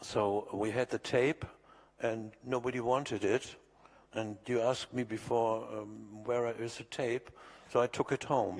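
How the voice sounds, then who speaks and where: At a fairly slow pace, a man talks with monotone, flat intonation. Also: medium pitch for a man. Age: 70s. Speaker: recording engineer. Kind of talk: interview reminiscence. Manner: halting.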